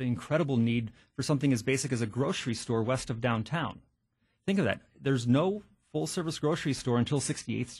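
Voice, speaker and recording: A man with an American accent, medium in pitch and somewhat breathy, with ordinary pitch variation and a fairly quick pace against a quiet background. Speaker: county supervisor. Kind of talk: radio interview.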